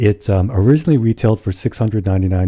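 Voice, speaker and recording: A man at a very fast pace, with a fairly low, somewhat breathy voice, a dark, mellow tone and ordinary pitch variation. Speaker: podcast co-host. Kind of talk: casual podcast chat.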